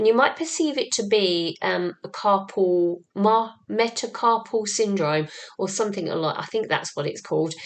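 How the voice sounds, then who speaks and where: Hardly pausing, a woman of medium pitch talks at a moderate pace with lively intonation. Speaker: spiritual channeler and light language teacher. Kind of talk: spiritual teaching monologue. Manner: hesitant, many ums.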